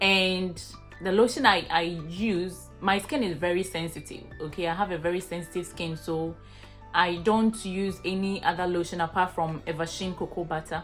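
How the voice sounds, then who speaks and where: A woman with a Ghanaian accent speaks with fairly even intonation as music plays in the background. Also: fairly low pitch for a woman, moderate pace. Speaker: vlogger. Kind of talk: casual talk to camera.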